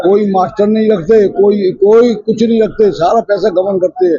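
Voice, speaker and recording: This man speaks in a high pitch. His intonation stays fairly even. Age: 80s+. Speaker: elderly social worker making complaints. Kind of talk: press conference statement. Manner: halting.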